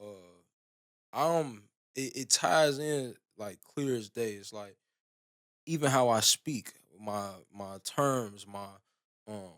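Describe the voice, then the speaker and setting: At a very slow pace, a man of medium pitch speaks with ordinary pitch variation, long and frequent pauses, and big swings in loudness. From Chicago, east side (South Side). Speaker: rapper. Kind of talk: casual interview chat.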